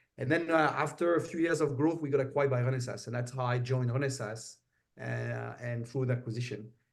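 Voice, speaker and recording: A man with a French accent talks at a very fast pace, somewhat breathy, with fairly even intonation. Audible room echo surrounds his voice. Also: medium pitch for a man. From France. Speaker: semiconductor executive. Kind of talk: interview. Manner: many filler hesitations.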